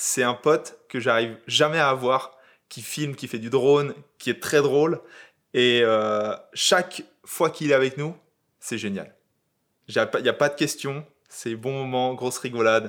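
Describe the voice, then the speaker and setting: Here a man speaks fairly slowly, pausing often and at length. His medium voice moves through an ordinary range of pitch. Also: very clean recording, silent background. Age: 30s. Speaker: YouTube content creator. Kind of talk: casual chat.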